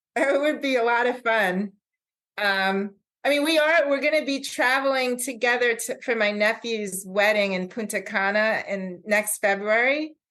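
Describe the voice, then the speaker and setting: Bright and sharp in tone, a woman with an American accent speaks at a fairly high pitch. Her intonation is lively and her pace moderate. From Long Island, New York. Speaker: guest. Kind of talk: casual chat.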